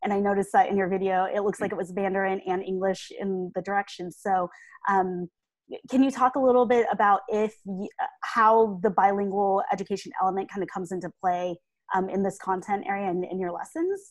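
Dry with no echo and a quiet background, this recording has a woman at a medium pitch. She speaks with an American accent at a fairly quick pace. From United States. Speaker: edtech specialist and webinar host; webinar host. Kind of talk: webinar hosting. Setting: video call. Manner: enthusiastic. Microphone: video call.

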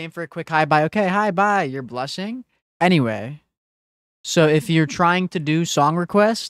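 The speaking pace is moderate. The background is quiet, and the sound is dry with no echo. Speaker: gaming streamer. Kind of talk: casual live stream chat. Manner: low-energy. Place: home room. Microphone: studio mic.

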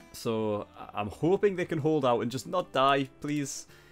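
A man talks at a moderate pace and medium pitch, with a fairly bright tone and lively intonation, as faint music plays in the background.

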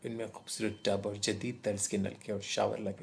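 His intonation stays flat and monotone. The man talks in a fairly low pitch. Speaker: radio jockey, story narrator. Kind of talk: horror story narration in Urdu.

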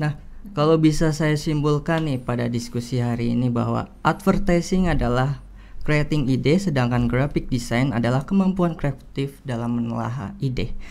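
Speaking at a moderate pace, a man varies his pitch in an ordinary way. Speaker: student moderator. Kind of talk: moderating a webinar Q&A. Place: studio. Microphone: studio mic.

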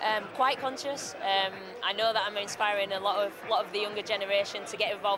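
Noticeable background noise sits under a woman's voice, with dry sound and no echo. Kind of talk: interview answer. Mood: cheerful, smiling. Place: hall.

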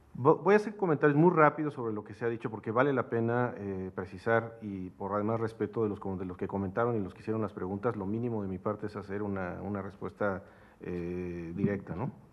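A fairly low-pitched man with a Mexican accent, ordinary pitch variation and hardly any pauses. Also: fairly quick pace. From Mexico. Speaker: researcher presenting paper; speaker. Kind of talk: academic seminar. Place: hall. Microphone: podium.

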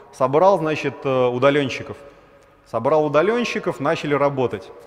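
Here a man speaks at a moderate pace with lively intonation. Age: 30s. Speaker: startup founder, former realtor; conference speaker. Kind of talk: conference talk; conference talk, storytelling. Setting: stage with audience. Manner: animated; casual, filler-heavy. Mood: wry, self-deprecating storytelling. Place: hall. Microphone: headset.

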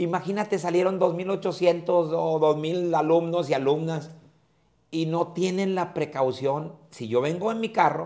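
Here a man speaks fairly slowly in a high voice. His pitch varies in an ordinary way over a quiet background. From Mexico. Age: old. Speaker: comedian; comedian guest. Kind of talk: casual chat. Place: hall.

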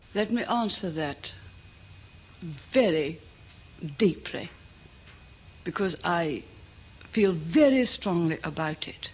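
Long, frequent pauses break up a woman's very slow speech. Her pitch is fairly low and her intonation lively. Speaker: politician. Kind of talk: political speech. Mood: firm, emphatic. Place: studio.

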